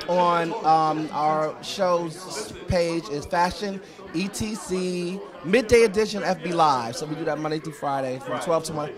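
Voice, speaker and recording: A man speaking at a very slow pace, with noticeable background noise. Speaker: fashion magazine show host; interviewee, show host. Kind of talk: interview. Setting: event venue. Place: hall. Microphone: handheld.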